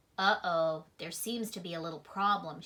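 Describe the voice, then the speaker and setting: A woman speaks in a put-on character voice, fairly low in pitch, at a moderate pace with ordinary pitch variation. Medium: read story.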